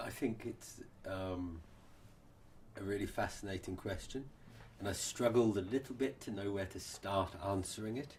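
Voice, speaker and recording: With an English accent, a man speaks at a moderate pace and fairly low pitch, somewhat breathy, with ordinary pitch variation and long, frequent pauses. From England, Norfolk. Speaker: social anthropology professor. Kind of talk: interview answer.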